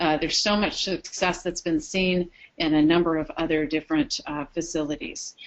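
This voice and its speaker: Speaking at a moderate pace, a woman has an unremarkable speaking voice, a fairly low pitch and fairly even intonation. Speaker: program trainer presenting to care facilities. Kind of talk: webinar presentation. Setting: webinar broadcast.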